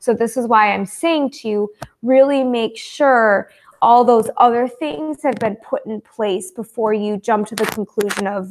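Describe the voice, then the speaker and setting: Speaking at a fairly slow pace, a woman has a plain, everyday voice with a fairly high pitch and ordinary pitch variation. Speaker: fitness and diet coach. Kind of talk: online group coaching session.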